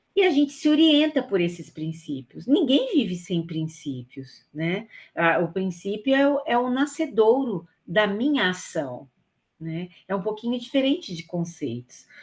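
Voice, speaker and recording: Very wide pitch swings, a fairly slow pace and a somewhat breathy quality. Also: woman, medium pitch for a woman. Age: 60s. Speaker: volunteer trainer. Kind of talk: training lecture. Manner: hesitant, with fillers.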